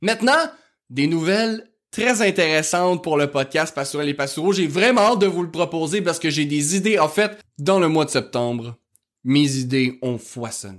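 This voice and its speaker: In a very clean recording with a silent background, a man with a strong Quebec accent and a fairly high pitch speaks in an animated tone. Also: lively intonation, moderate pace. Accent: strong rural Québécois. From rural Quebec. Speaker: history podcast host. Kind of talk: casual podcast monologue.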